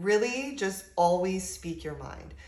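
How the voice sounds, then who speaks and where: The speaker, a woman, goes at a fairly slow pace. Audible echo fills the room. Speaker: spiritual advice channel host. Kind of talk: tutorial.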